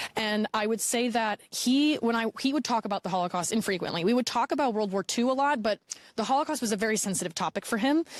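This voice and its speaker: A woman talks at a very fast pace with a fairly high pitch and ordinary pitch variation. Her loudness is very even, and the sound is dry and close with no echo. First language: Polish. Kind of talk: interview testimony. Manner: halting, with repetitions and fillers.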